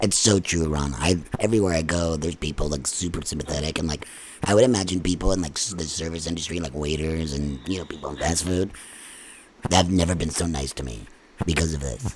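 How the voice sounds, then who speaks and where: Speech at a very fast pace with ordinary pitch variation comes through noticeable background noise. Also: man, very deep, low pitch for a man. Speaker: podcast host and band musician. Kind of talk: casual interview.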